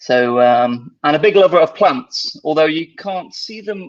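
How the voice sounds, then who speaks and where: This man speaks in a British accent. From UK. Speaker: recruiter. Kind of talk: live webinar chat. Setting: video call.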